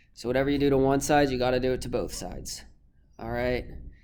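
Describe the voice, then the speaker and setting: A man's voice with audible room echo. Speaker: math teacher. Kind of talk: recorded lesson video. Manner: casual, filler-heavy.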